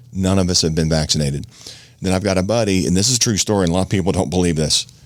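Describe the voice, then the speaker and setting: A man with a very deep, low pitch talks at a very fast pace, his loudness very even and his pitch variation ordinary. Noticeable background noise runs underneath. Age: 50s. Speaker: podcast host. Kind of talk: casual chat.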